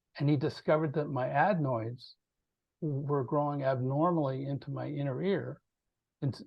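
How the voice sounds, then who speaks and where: A man speaks at medium pitch and a moderate pace. His voice is somewhat breathy, with fairly even intonation. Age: 60s. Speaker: composer and PTSD awareness advocate. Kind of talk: interview.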